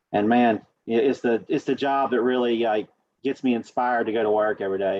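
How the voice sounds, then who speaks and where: At a fairly quick pace, a man with an Appalachian accent talks at medium pitch with fairly even intonation. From Southwest Virginia. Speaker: state environmental official, geologist. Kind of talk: panel interview.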